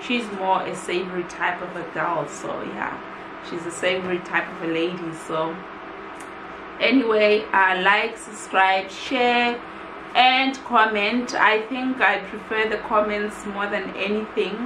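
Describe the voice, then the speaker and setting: Over noticeable background noise, the speech goes at a fairly slow pace with ordinary pitch variation. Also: woman, medium pitch for a woman. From South Africa. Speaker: YouTuber, food reviewer. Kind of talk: product review vlog. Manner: casual, hesitant with fillers. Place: home room. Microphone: camera far.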